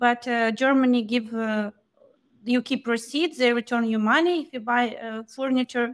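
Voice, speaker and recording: A woman talks in a Ukrainian accent. Her pitch is high. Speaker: podcast co-host. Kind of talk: interview.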